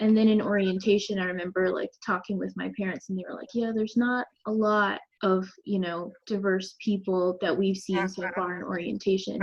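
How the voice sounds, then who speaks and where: A plain, everyday voice with an American accent speaks at a moderate pace, its intonation fairly even. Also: woman. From North Carolina, US (Charlotte). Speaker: architecture student. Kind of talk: interview.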